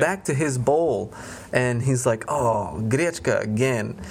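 With an animated tone and lively intonation, a somewhat breathy man speaks at a moderate pace. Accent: American. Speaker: podcast host at a language school. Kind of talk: casual chat.

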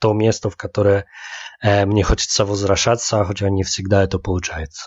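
A man speaks at a moderate pace. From Łódź, Poland. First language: Polish (speaking Russian). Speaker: podcast co-host. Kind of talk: casual chat. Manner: halting, mixing Polish and Russian.

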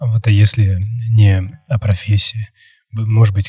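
The voice is somewhat breathy and dark and mellow in tone, with monotone, flat intonation. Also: man, dry, close sound with no echo. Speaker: podcast host. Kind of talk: casual interview chat.

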